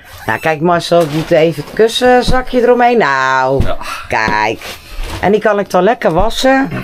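Over noticeable background noise, a woman speaks fairly slowly at a medium pitch, her pitch swinging very widely. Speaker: yacht vlogger refitting boat. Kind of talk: casual vlog chat.

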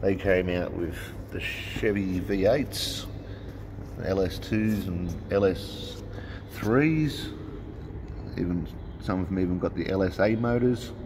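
In an Australian accent, a man speaks with a very deep, low pitch and ordinary pitch variation, at a very slow pace. Long, frequent pauses break up his speech over noticeable background noise. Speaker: RC hobby YouTuber. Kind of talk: casual vlog commentary.

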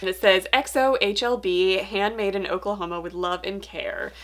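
Very slow in pace, a woman speaks with lively intonation. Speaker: book vlogger. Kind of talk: casual vlog chat. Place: home room.

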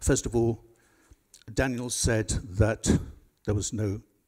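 A man with an English accent speaks at a fairly low pitch with a dark, mellow tone, vocal fry and fairly even intonation over a quiet background. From England. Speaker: barrister, audience member; audience member. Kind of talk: audience question. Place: hall.

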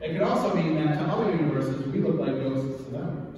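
Against light background noise and strong room echo, a man talks at a very fast pace. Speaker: presenter. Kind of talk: lecture. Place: meeting room.

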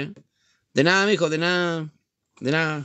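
A man speaks fairly quickly, his pitch varying in an ordinary way, with a quiet background behind him. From Chile. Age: 50s. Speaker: livestreamer; live streamer. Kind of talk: casual chat. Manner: halting. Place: home room. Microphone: phone near.

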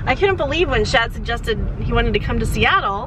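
This woman's voice sounds dry, without any echo. Noticeable background noise is present. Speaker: family vlogger. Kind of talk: casual vlog chat. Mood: cheerful, upbeat. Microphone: phone near.

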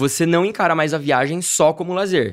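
Against a quiet background, a man keeps his speech at a moderate pace. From Campinas, São Paulo state, Brazil; São Paulo, Brazil. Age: 30s. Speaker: travel youtuber. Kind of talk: casual interview chat. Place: studio. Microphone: studio mic.

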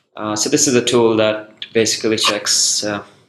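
Audible room echo and light background noise around a man's moderate pace. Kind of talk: conference talk presentation. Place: meeting room. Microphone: webcam.

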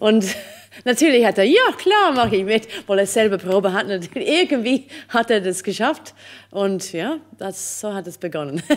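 Speaking in a Swiss accent, a woman has a fairly high pitch and lively intonation. She talks fairly slowly over a quiet background. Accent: speaks Swiss dialect well. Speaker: opera singer; interviewee. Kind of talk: interview. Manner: halting, many fillers. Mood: warm, amused storytelling. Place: stage. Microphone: studio mic.

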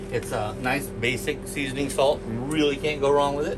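Over music in the background, a man speaks at a fairly slow pace with ordinary pitch variation. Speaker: presenter. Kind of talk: tutorial. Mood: relaxed, light joking. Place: kitchen.

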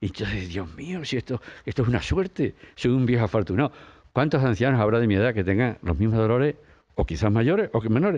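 Over a quiet background, a man talks at a very fast pace. His medium pitch moves with lively intonation. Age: 80s+. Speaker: monk. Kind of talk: interview. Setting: outdoors.

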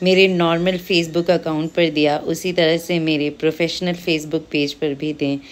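A woman's fairly low voice, monotone and flat, with hardly any pauses. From Himachal Pradesh, India (Sundernagar, Mandi district); Himachal Pradesh, India. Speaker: vlogger and housewife; vlogger. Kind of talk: direct-to-camera vlog appeal. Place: open country. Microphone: phone near.

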